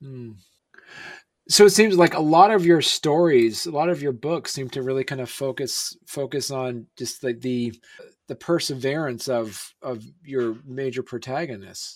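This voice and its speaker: This man has an unremarkable speaking voice with an American accent, a medium pitch and ordinary pitch variation. He talks at a fairly slow pace, and his loudness swings widely. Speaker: podcast host. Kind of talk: casual interview. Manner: friendly, chatty.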